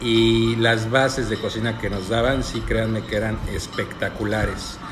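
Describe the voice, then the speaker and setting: A man's voice over music in the background. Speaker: cooking content creator. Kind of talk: casual live-stream chat answering questions. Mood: relaxed, friendly. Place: home room. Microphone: phone near.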